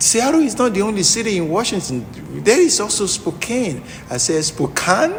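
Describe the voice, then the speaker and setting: A man with a strong Nigerian accent and very wide pitch swings, amid audible room echo and noticeable background noise. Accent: Nigerian, thick. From southwest Nigeria. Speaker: lawyer. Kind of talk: interview. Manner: halting.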